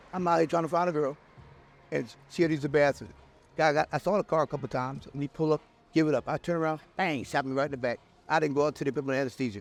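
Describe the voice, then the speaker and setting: At a very fast pace and fairly high pitch, a man with an American accent speaks in fairly even intonation, the sound dry and close with no echo. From Philadelphia, partly Missouri. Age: 60s. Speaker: interviewee, drug user. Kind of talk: street interview. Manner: repetitive, halting.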